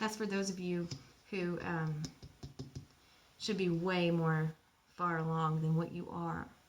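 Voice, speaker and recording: Audible room echo surrounds a woman with a fairly low voice who talks at a fairly slow pace with long, frequent pauses. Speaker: spiritual channeler. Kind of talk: guided meditation. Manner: animated.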